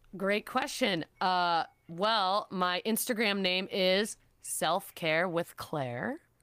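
A bright, sharp voice with an American accent, ordinary pitch variation and a very slow pace, in a very clean recording with a silent background. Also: woman, medium pitch for a woman. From Chicago area, US Midwest. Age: 30s. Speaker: PR coordinator. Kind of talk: casual interview chat.

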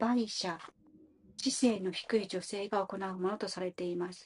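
At a moderate pace, a woman talks in a somewhat breathy voice at a medium pitch. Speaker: study group participant. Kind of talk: reading aloud. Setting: online audio room.

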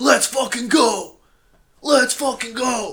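A put-on character voice from a man, extremely high in pitch, very slow, in an American accent. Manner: shouting, aggressive.

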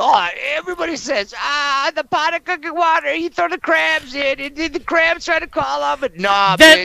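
A man uses a raised, projected voice at an extremely high pitch with very wide pitch swings and hardly any pauses. The sound is dry and close, with no echo. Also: moderate pace. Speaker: guest from another podcast. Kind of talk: crude banter. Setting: group call.

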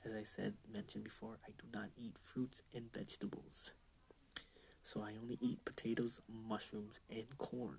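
A man whispers at a moderate pace. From Canada. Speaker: podcaster. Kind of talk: casual monologue. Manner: rambling casual.

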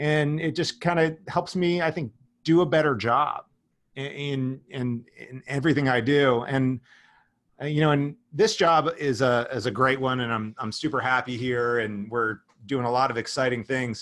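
A man with an American accent speaks in an unremarkable speaking voice with ordinary pitch variation. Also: medium pitch for a man, moderate pace. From southern New Jersey near Philadelphia. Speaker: marketing executive. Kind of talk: interview.

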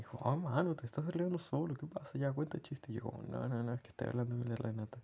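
In a Chilean accent, a man with a medium pitch and ordinary pitch variation speaks at a very fast pace with hardly any pauses. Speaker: personal diarist. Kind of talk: personal audio diary.

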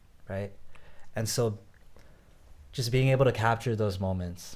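The man's fairly low voice shows ordinary pitch variation, captured in a very clean recording with a silent background. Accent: American. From US, Northern Virginia. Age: 20s. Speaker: rapper. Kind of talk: interview.

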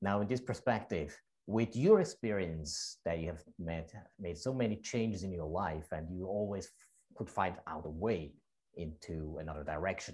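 A man with a very deep, low, somewhat breathy voice talks at a moderate pace with ordinary pitch variation. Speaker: podcast/radio host. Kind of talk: casual interview chat.

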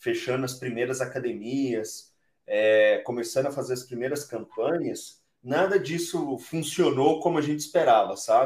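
The speaker talks at a moderate pace, somewhat breathy, with ordinary pitch variation. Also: man, fairly high pitch for a man. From Brazil, southern Minas Gerais. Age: 30s. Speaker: entrepreneur, company cofounder. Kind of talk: interview. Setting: remote recording from home.

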